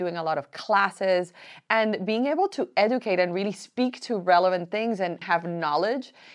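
A woman with a Spanish accent at a moderate pace, over a quiet background. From Colombia. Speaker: beauty entrepreneur. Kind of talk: panel interview.

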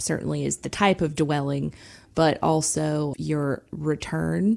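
On a very clean recording with a silent background, a woman talks fairly slowly. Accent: Southern US. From South Georgia. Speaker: senior living sales director. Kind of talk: radio interview.

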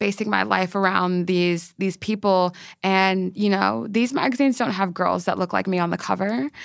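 On a very clean recording with a silent background, a woman with an ordinary speaking voice and medium pitch talks at a moderate pace. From Maryland, US. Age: 20s. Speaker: journalist and editor. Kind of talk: casual interview chat.

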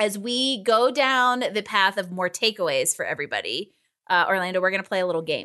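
A woman speaks in an American accent with a bright, sharp tone at a medium pitch. Her pace is fairly quick and her intonation lively, over a quiet background. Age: 40s. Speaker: podcast host, career coach. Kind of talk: casual interview.

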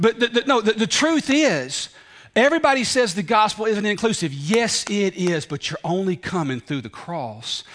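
In a Southern US accent, the speaker talks at a moderate pace with an animated tone and very wide pitch swings. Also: man. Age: 40s. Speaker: preacher. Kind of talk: sermon. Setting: church.

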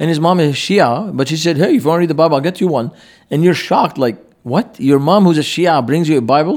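With an Arabic accent, a man speaks at a very fast pace and fairly high pitch, using ordinary pitch variation and very even loudness. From Lebanon, Beirut. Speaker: pastor. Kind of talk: interview. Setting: conference.

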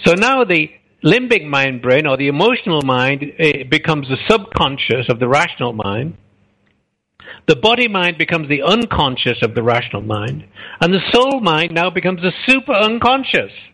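Against a quiet background, a man talks at a moderate pace. His fairly high pitch swings very widely, and his tone is bright and sharp. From England. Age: 70s. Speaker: author and speaker. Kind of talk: interview. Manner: halting.

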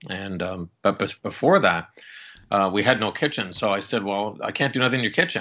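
Bright, sharp tone from a man with a Canadian accent, fairly low in pitch, with ordinary pitch variation and a fairly quick pace. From Canada, downtown Toronto. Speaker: chef and culinary arts professor. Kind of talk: casual interview.

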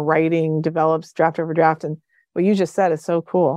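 A woman speaks with a New Jersey accent in a fairly low voice. Her intonation is monotone and flat, over a quiet background. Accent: American, New Jersey. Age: 50s. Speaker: professor and social psychologist. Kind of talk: interview conversation.

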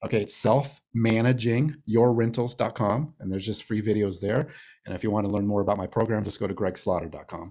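A man speaks at a fairly quick pace in a fairly low pitch with a dark, mellow tone. The recording is very clean with a silent background. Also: ordinary pitch variation. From Arizona, Phoenix. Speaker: real estate investor. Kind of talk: interview.

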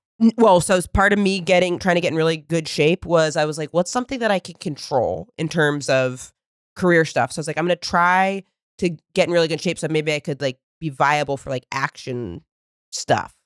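A woman with an unremarkable speaking voice talks at a fairly quick pace, her pitch fairly low with ordinary pitch variation. The recording is very clean with a silent background, and the sound is dry and close with no echo. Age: 30s. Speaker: comedian. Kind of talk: casual chat.

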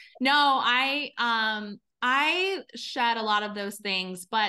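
A woman's fairly high voice, bright and sharp in tone, with lively intonation over a quiet background. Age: 40s. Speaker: business consultant. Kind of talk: interview.

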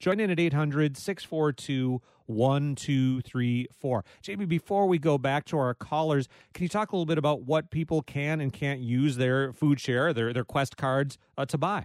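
In a normal speaking voice, a man with an American accent talks at a fairly slow pace with a fairly high pitch and ordinary pitch variation. The sound is dry and close with no echo, against a quiet background. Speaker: radio host. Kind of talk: radio call-in interview. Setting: studio.

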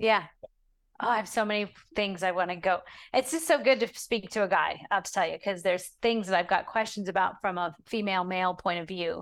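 A woman with a plain, everyday voice talks at medium pitch and a fairly quick pace, with ordinary pitch variation. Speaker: podcast host and wellness ministry founder. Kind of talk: interview.

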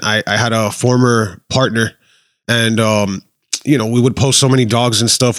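A man speaks with an American accent at a medium pitch. His intonation stays flat and monotone. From Miami, Florida. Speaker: Instagram page admin. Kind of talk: casual chat.

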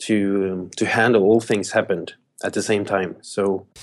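Against a quiet background, a man with a Norwegian accent speaks at a fairly low pitch. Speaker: pastor. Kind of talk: interview. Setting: video call.

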